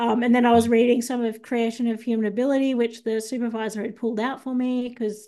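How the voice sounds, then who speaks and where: Against a quiet background, the speaker goes at a fairly quick pace in an Australian accent. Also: woman. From Australia, Sydney. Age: 30s. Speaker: ex-Scientologist. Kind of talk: interview testimony.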